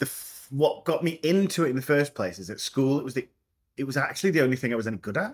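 A man with a Scottish accent, fairly high in pitch, talking at a very fast pace with lively intonation. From Scotland. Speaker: theatre director. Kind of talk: casual interview chat.

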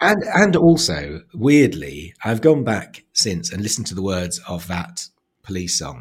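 A man with a somewhat breathy, fairly low voice speaks fairly slowly, his pitch swinging very widely and his loudness rising and falling sharply. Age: 50s. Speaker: author, playwright and comedian. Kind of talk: casual chat.

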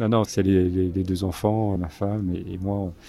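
A man with a very deep, low pitch speaks at a fairly slow pace in a monotone, flat intonation. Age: 60s. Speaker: photojournalist. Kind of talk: interview. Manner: halting.

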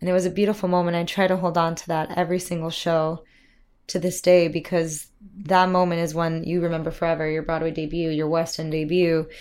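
A woman with a Miami accent speaks at a fairly quick pace, her pitch fairly low and her intonation monotone and flat. The recording is very clean, with a silent background. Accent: American (Miami). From Miami, Florida, US; Cuban American. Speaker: musical theatre actress. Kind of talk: casual interview chat. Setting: dressing room at a theatre.

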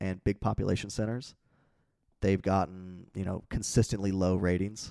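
Against a silent background in a very clean recording, a man with a plain, everyday voice speaks at a moderate pace, fairly low in pitch, with fairly even intonation. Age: 20s. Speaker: navy veteran. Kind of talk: casual chat. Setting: at host's home.

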